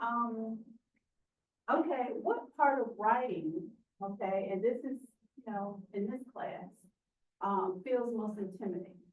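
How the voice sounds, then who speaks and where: Spoken at a very slow pace in a Southern US accent, the voice has ordinary pitch variation and audible room echo. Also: woman. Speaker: writing center instructor. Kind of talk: classroom workshop. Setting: classroom with students. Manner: interactive, encouraging.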